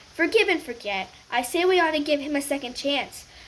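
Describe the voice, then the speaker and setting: In a put-on character voice, a woman speaks at a high pitch and a fairly quick pace. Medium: read story. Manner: warm, kindly.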